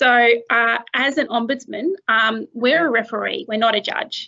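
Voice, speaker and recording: A woman's fairly high voice with an Australian accent, at a moderate pace over a quiet background. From rural New South Wales, Australia. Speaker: dispute resolution officer; presenter. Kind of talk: webinar presentation. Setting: video call. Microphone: webcam.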